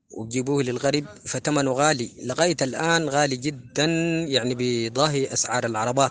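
A man with a Sudanese accent speaks at a moderate pace and a medium pitch, his intonation fairly even over noticeable background noise. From Sudan, West Darfur (El Geneina). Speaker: folk singer. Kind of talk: interview.

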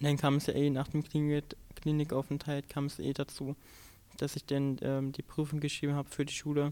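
A man speaks at a fairly quick pace with a fairly high pitch. His intonation is monotone and flat, over a dark, mellow tone. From Saxony-Anhalt, eastern Germany. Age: young. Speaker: trainee and LGBTQ activist. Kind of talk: personal interview testimony. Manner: halting.

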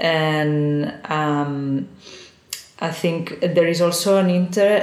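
There is noticeable background noise behind a woman speaking with ordinary pitch variation. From Spain, Girona (Catalonia). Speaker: artist. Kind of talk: interview. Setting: office. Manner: halting. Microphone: poor sound quality.

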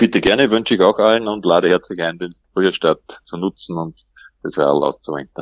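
A man at a fairly quick pace, his pitch very deep and low. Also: ordinary pitch variation. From Upper Austria, Mühlviertel. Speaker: everyday cyclist. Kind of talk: interview.

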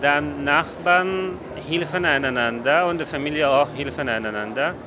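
With an Afghan accent, a man talks at a very slow pace in a fairly high pitch, over noticeable background noise. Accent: Afghan-accented non-native German. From Afghanistan, Kabul. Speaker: festival volunteer. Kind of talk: on-site interview.

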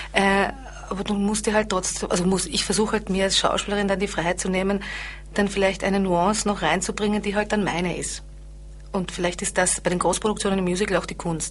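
A woman's very fast, monotone, flat delivery at a medium pitch, with vocal fry. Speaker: actress and singer. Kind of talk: interview. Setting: studio.

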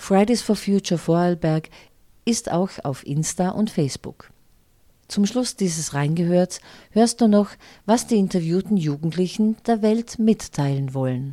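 A woman's medium-pitched voice with a dark, mellow tone, lively intonation and a fairly slow pace. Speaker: radio presenter. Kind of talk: news reading.

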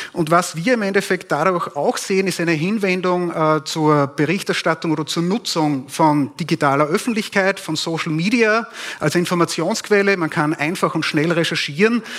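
A man at a high pitch and a moderate pace, hardly any pauses, with noticeable background noise. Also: ordinary pitch variation. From Upper Austria (Steyr). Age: 40s. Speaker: propaganda researcher. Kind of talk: conference talk. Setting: stage with audience.

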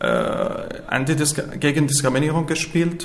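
Over noticeable background noise and audible room echo, a man talks in a monotone, flat intonation at a fairly high pitch. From Syria. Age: 20s. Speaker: refugee, amateur theater participant. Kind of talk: interview. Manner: halting.

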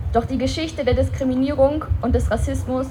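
Noticeable background noise sits behind the recording. A woman talks over it at a fairly quick pace. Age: young. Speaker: human rights activist. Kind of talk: political speech. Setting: outdoor memorial event with audience.

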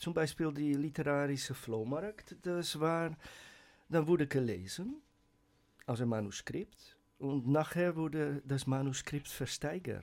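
Very slowly, a man speaks with a Dutch accent at a fairly high pitch. His pitch variation is ordinary, and the recording is very clean with a silent background. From Netherlands. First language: Dutch (speaking German). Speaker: writer and poet. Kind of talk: casual radio chat. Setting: radio studio.

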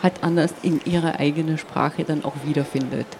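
Over noticeable background noise, a woman in a Slovenian accent speaks at a moderate pace. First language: Slovene (speaking German). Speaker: poet. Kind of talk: interview. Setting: stage at a book fair. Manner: hesitant, many filler sounds.

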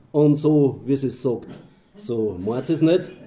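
A man talks at a very slow pace in a fairly high pitch. His tone is dark and mellow, and his intonation is lively. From Austria, Mühlviertel. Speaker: dialect poet and moderator. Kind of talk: public reading and moderation.

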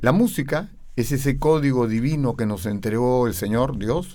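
Speaking very slowly, this man keeps a medium pitch whose rise and fall is ordinary. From Peru, Lima (Miraflores). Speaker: opera tenor. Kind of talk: interview.

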